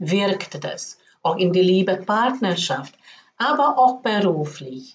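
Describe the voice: A woman with a fairly low voice talks with lively intonation and few pauses.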